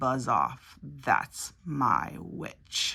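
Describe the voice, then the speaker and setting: A man performs a put-on character voice that is very deep and low, croaky and growling. His pitch swings very widely. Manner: rude.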